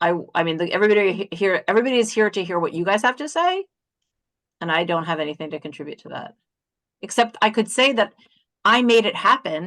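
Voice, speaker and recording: A woman at medium pitch races along at a very fast pace, her lively intonation and big swings in loudness broken up by long, frequent pauses. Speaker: webinar moderator. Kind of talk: casual chat.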